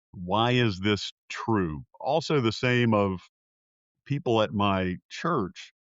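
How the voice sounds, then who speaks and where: Lively intonation marks a man's very slow speech in a Southern US accent. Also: medium pitch for a man. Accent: Southern American. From US South, South Carolina. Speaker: political science professor and pollster. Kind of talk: interview. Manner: hesitant, frequent fillers.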